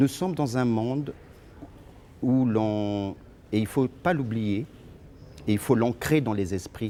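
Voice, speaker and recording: A man speaks at a very slow pace with long, frequent pauses, a dark, mellow tone, and ordinary pitch variation. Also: medium pitch for a man. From Congo-Brazzaville, Brazzaville (Poto-Poto). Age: 50s. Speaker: lawyer and party leader. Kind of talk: interview.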